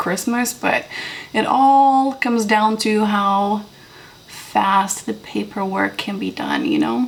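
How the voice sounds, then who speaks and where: A woman talks at medium pitch with ordinary pitch variation while noticeable background noise carries on. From Moldova. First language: Romanian and Russian. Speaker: beauty vlogger. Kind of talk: casual makeup tutorial chat.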